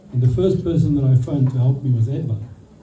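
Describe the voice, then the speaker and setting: A man talks with fairly even intonation. Audible room echo and noticeable background noise fill the recording. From South Africa. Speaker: friend giving a speech. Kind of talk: birthday speech. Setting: party with audience.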